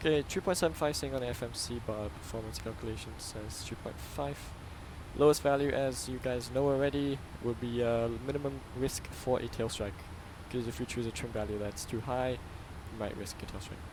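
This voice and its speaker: Lively intonation from a man at a fairly quick pace, with audible room echo and noticeable background noise. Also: medium pitch for a man. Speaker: flight sim streamer. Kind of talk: gameplay commentary. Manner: fast.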